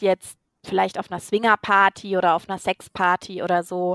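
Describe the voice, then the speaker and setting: The recording is very clean, with a silent background and a dry, close sound with no echo. A woman talks at a fairly quick pace in a plain, everyday voice. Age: 30s. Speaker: podcast co-host. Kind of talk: casual chat.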